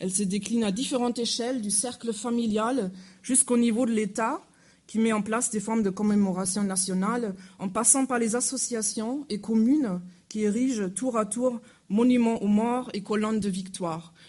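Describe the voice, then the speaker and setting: A woman with a German accent speaks at a moderate pace in a fairly high, somewhat breathy voice with a dark, mellow tone and fairly even intonation, with audible room echo around her. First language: German (speaking French). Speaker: university lecturer. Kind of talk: lecture. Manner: halting.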